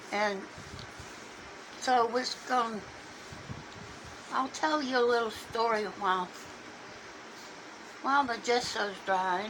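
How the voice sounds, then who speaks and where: A woman's fairly high voice in a Southern accent, at a very slow pace with long, frequent pauses, ordinary pitch variation and very even loudness, amid noticeable background noise and audible room echo. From US South, Alabama. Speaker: painting hobbyist. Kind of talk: tutorial. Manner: halting.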